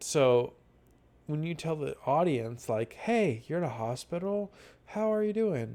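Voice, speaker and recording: A man mumbles at a fairly slow pace in a fairly high pitch, with a dark, mellow tone. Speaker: online roleplay community admin reviewer. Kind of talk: casual spoken review. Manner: mumbling; hesitant, many fillers.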